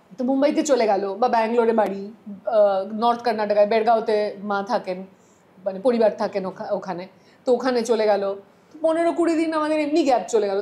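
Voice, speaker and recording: With lively intonation, a woman talks at a fairly high pitch in an ordinary speaking voice. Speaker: sports anchor and FM radio host. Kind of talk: casual podcast interview conversation.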